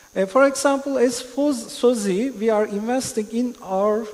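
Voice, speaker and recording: Amid noticeable background noise, a man with a Turkish accent speaks at a high pitch and a fairly slow pace, with ordinary pitch variation. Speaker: panelist on metaverse, music metaverse project. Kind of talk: conference panel discussion. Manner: halting, hesitant.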